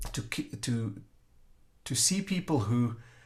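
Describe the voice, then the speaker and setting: At a very slow pace, the voice is somewhat breathy with lively intonation. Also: man. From South Africa. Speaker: strategy consultant. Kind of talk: interview conversation.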